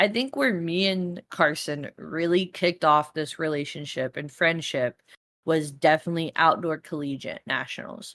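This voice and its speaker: The woman's voice sits fairly low, with ordinary pitch variation, at a moderate pace. The sound is dry and close, with no echo. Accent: Texas. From Texas, Dallas. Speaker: college student podcaster. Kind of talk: casual chat. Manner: animated.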